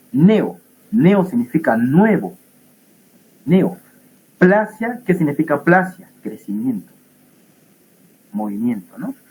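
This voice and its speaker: A man's somewhat breathy voice moves through very wide pitch swings and big swings in loudness, broken by long, frequent pauses. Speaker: pathology teaching assistant. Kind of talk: lecture. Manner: animated.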